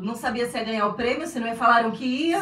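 Noticeable background noise and audible room echo surround a woman's high-pitched voice with ordinary pitch variation. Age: 40s. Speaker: podcast host. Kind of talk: casual interview.

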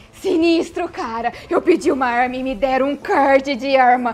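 A woman speaks in a high voice with music playing behind her. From Minas Gerais, Brazil (interior, Passos). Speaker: gaming content creator and writer. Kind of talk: casual interview chat.

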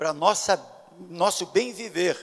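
This man speaks at a high pitch. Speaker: pastor. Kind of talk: sermon. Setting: church.

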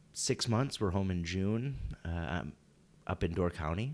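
Fairly low male speech, the recording very clean and the background silent. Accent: slight Wisconsin. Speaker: podcast co-host, Navy veteran. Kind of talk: casual chat.

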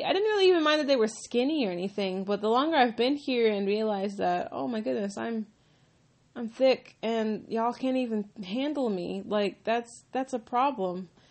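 Her intonation lively and her pitch fairly high, a woman speaks at a moderate pace. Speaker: podcaster. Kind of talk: casual monologue. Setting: at home. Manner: halting.

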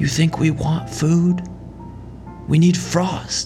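A breathy, put-on character voice at a middle pitch speaks at a very slow pace. Clear music plays in the background. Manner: demanding, eerie.

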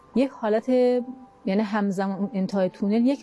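A woman's medium-pitched voice with ordinary pitch variation, music in the background. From Kermanshah, Iran (Kurdish). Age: 40s. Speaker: near-death experiencer, homemaker. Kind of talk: personal testimony interview. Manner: halting.

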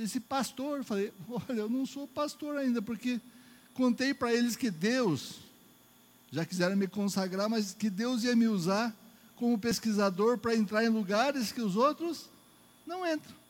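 Over a silent background in a very clean recording, a man speaks with a northeastern Brazilian accent. His extremely high pitch shows ordinary variation at a fairly slow pace. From Northeast Brazil. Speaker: preacher. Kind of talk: sermon. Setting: church. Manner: animated.

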